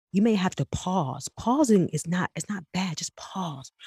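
In a dry, close recording with no echo, a woman speaks at a medium pitch and a fairly slow pace, her somewhat breathy voice rising and falling with lively intonation. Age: 30s. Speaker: podcast host. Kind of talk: casual monologue. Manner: animated; halting.

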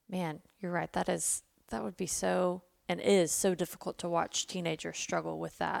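The sound is close and dry, without any echo. A woman talks at a moderate pace. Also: very clean recording, silent background. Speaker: podcast host. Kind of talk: casual chat.

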